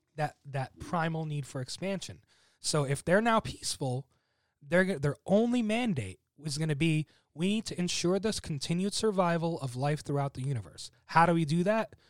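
A man's high-pitched voice with lively intonation, dry and close with no echo, in a very clean recording over a silent background. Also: moderate pace. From US (emigrated from Egypt at age seven). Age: 20s. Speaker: immigrant guest. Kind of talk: casual chat. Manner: articulate.

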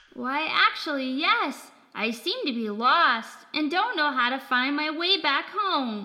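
In a high-pitched, put-on character voice, the speaker goes at a fairly slow pace with hardly any pauses. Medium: audio drama. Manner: chipper, wide-eyed, exclamatory.

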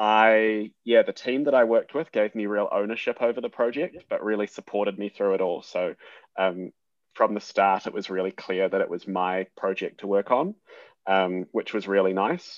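Fairly low pitch for a man, ordinary pitch variation and a moderate pace. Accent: New Zealand. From New Zealand (Hamilton). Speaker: junior doctor and surgical researcher. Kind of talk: interview.

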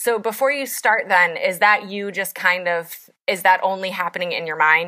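A woman with a normal speaking voice at a medium pitch. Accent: American. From West Virginia, Appalachia. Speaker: podcast host, writer. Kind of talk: interview.

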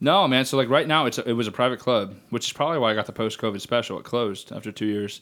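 Hardly pausing, a man talks at a very fast pace with ordinary pitch variation. The recording is very clean, the background silent. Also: medium pitch for a man. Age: 20s. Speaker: entrepreneur. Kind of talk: casual chat.

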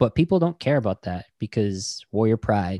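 In a dry, close sound with no echo and a very clean recording with a silent background, a man with an American accent speaks at a fairly slow pace, his voice fairly low in pitch with a dark, mellow tone. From Navajo Nation, Arizona (Tuba City). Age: 30s. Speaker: podcast host, guest here. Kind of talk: casual interview chat.

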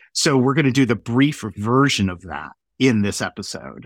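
A man speaks at a medium pitch and a fairly slow pace, with vocal fry and lively intonation. The sound is dry and close with no echo, in a very clean recording with a silent background. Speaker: podcast host. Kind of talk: interview about a book, with commentary.

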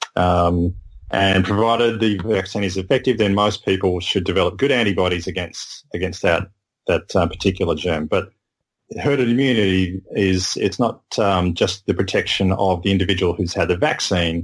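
Speaking at a moderate pace with very even loudness, a man with an Australian accent has a very deep, low pitch and ordinary pitch variation. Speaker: medical science guest. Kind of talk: casual chat. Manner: halting.

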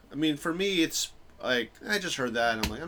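Music plays in the background. Over it, a man with an American accent talks at a very fast pace. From New York. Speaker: stand-up comedian. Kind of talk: casual chat. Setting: home recording.

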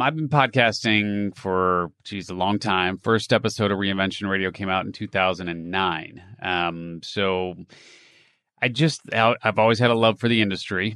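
Against a quiet background, a man speaks with a bright, sharp tone at a fairly low pitch. His pace is moderate, with ordinary pitch variation. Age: 50s. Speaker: entrepreneur and reinvention coach. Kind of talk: interview.

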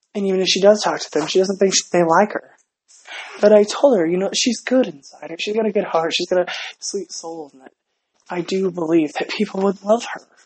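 At a fairly quick pace, a woman with a normal speaking voice talks at medium pitch, showing ordinary pitch variation and big swings in loudness. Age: 30s. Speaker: podcast host, parent. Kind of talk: casual monologue.

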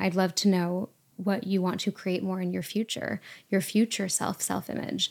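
A woman talks at a moderate pace in a very clean recording where the background is silent. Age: 20s. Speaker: podcast host and app founder. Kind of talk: casual interview. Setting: at guest's home.

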